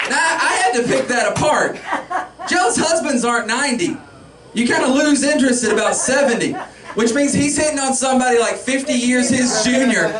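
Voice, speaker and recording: An extremely high-pitched man speaks at a fairly quick pace with ordinary pitch variation and very even loudness, amid audible room echo and noticeable background noise. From US South, Pickens County, South Carolina. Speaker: stand-up comedian. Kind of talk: stand-up. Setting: stage with audience.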